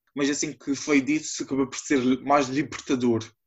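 A man speaks with monotone, flat intonation. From Azores, São Miguel. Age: 20s. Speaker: podcast guest. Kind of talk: personal testimony.

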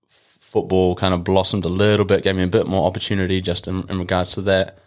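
A man with a New Zealand accent, very deep and low in pitch, monotone and flat, at a fairly quick pace, in a very clean recording with a silent background. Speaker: football player and youth coach. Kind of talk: casual chat.

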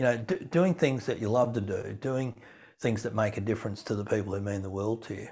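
In an Australian accent, a man speaks at a fairly quick pace with a medium, somewhat breathy voice and ordinary pitch variation, on a very clean recording with a silent background. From rural farm upbringing. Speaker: keynote speaker. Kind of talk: podcast interview.

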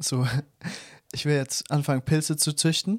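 A plain, everyday voice: a man with a fairly high pitch speaks at a moderate pace with fairly even intonation, in a very clean recording with a silent background. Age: 20s. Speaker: podcast co-host. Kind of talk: casual chat.

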